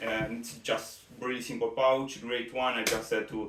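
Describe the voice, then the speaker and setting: Amid noticeable background noise and audible room echo, a man with an Italian accent speaks at a moderate pace. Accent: Italian accent, non-native English. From Italy. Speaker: competitive shooter, gear reviewer. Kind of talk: product review. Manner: halting, many fillers.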